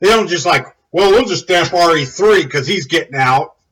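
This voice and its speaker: Someone is shouting loudly with lively intonation. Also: man. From United States. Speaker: military veteran video commentator. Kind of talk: angry rant video. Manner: loud, yelling.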